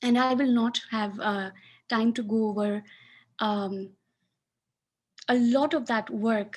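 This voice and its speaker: A somewhat breathy, fairly high female voice with ordinary pitch variation against a quiet background. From Pakistan (Sindh). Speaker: academic researcher. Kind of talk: webinar talk.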